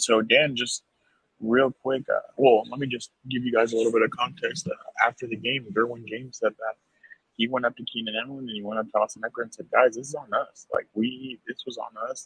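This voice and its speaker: A man with an unremarkable speaking voice, medium in pitch, at a fairly quick pace, with fairly even intonation, big swings in loudness, and a dry, close sound with no echo. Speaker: sports podcast host. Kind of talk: casual chat. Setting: at a stadium after the game.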